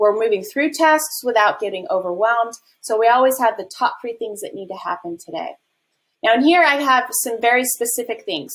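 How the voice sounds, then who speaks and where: This woman talks at a fairly quick clip in a high voice with lively intonation. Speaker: affiliate manager and business coach; business coach. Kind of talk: tutorial. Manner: fast. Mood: upbeat, enthusiastic. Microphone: webcam.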